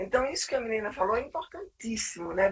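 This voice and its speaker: The voice is somewhat breathy with lively intonation. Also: woman. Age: 60s. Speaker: psychologist and clinical supervisor. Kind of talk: live webinar conversation. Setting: live stream.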